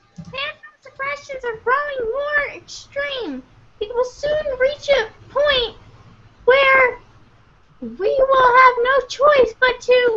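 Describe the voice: This female-sounding voice uses a put-on character voice at an extremely high pitch and a very slow pace.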